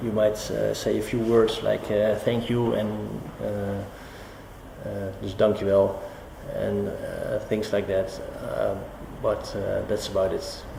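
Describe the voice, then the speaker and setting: A man with a Dutch accent at a very slow pace, with long, frequent pauses, audible room echo and noticeable background noise. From Netherlands. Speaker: business professional interviewed. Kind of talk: interview answers. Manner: halting, many fillers.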